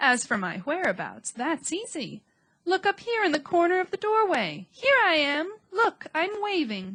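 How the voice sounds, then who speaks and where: Using a put-on character voice, a woman speaks extremely high. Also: moderate pace. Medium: read story. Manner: kindly, refined.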